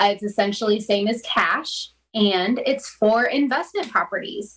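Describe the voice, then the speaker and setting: A woman with an American accent, fairly high-pitched, at a fairly slow pace with ordinary pitch variation, over noticeable background noise. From Florida. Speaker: mortgage lender. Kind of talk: interview.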